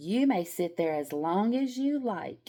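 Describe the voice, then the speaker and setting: A gruff, put-on character voice at a fairly slow pace. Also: woman. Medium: read story. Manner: smooth then gruff.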